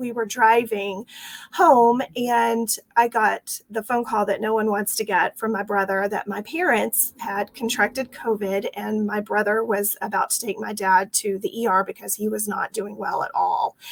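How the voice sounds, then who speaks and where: A woman speaks in a Texas accent at a moderate pace. Her intonation is fairly even, and the sound is dry and close with no echo. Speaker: franchise owner. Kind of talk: interview.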